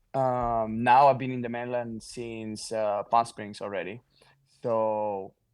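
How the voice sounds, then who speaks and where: In a Catalan accent, a man of medium pitch speaks very slowly and monotonously, with flat intonation and big swings in loudness. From Mallorca, Spain. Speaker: pro pickleball player. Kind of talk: podcast interview.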